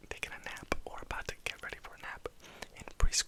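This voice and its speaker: A man whispers at a moderate pace against noticeable background noise. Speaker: ASMR creator. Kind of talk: ASMR personal attention questions. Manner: whispered.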